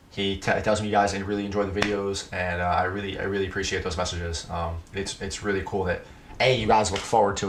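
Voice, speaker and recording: Over noticeable background noise and audible room echo, a man with a fairly low pitch talks at a very fast pace in a monotone, flat intonation with hardly any pauses. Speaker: 3D printing and cosplay streamer. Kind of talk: casual live stream Q&A.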